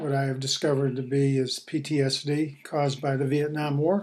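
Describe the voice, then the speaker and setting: The man's pitch is fairly high and his intonation fairly even. He keeps to a moderate pace. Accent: American. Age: 60s. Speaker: war veteran. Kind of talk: personal testimony. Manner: halting, with many fillers.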